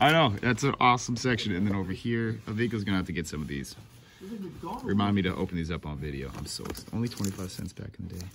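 A man at a very fast pace and fairly low pitch, lively intonation, light background noise behind him. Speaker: vlogger on a wrestling tour. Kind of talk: casual vlog chat. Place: shop. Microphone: phone near.

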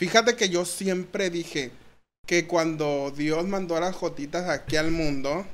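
The man's tone is animated and his pitch is high. His pitch variation is ordinary. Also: fairly slow pace. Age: 30s. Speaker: social media comedian. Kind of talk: casual chat. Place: studio. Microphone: studio mic.

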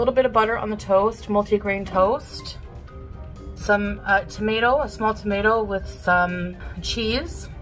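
A woman talks at a moderate pace with faint music in the background. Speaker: food diary vlogger. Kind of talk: casual vlog chat. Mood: relaxed, chatty. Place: home room. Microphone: phone near.

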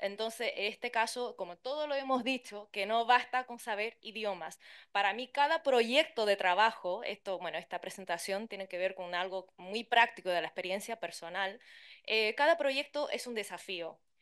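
A woman speaks with a Chilean accent. Her pitch is fairly high. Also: ordinary pitch variation, moderate pace, quiet background. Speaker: interpreter and translator; conference panelist. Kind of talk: conference talk. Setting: conference with interpreters' booth. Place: hall. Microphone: podium.

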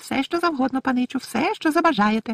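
A put-on character voice, shrill, squeaky and high-pitched, at a fairly quick pace. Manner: servile, eager to please.

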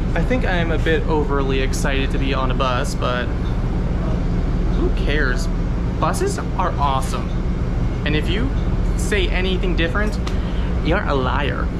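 A man at a moderate pace, with long, frequent pauses and loud background noise. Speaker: transit enthusiast vlogger. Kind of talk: casual vlog chat. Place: bus. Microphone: phone near.

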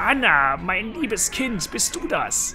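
A croaky, raspy put-on character voice, fairly high in pitch, at a fairly slow pace over clear background noise.

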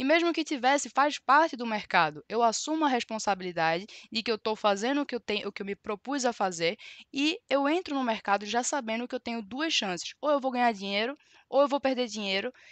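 A woman with a high pitch speaks at a fairly quick pace in an animated tone with lively intonation, recorded as dry sound with no echo over a quiet background. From Brazil, Recife (Pernambuco); Pernambuco, Brazil. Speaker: trading educator. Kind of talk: live-stream tutorial. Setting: live stream. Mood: defensive, firm. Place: home room.

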